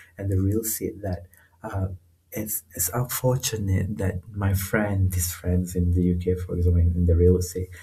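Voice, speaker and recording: This man's pitch is very deep and low, and his tone is dark and mellow. He sounds somewhat breathy, with fairly even intonation at a moderate pace. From northern Malaysia, rural. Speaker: researcher. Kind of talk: casual interview. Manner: halting, many fillers.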